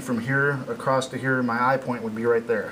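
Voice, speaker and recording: Noticeable background noise behind a man speaking at a medium pitch and a fairly quick pace. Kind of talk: technical walkthrough to camera.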